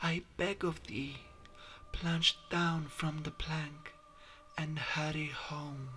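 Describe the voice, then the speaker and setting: A man's soft-spoken, breathy put-on character voice, fairly high-pitched, at a very slow pace with long, frequent pauses and clear background noise. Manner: slow, soft, ethereal.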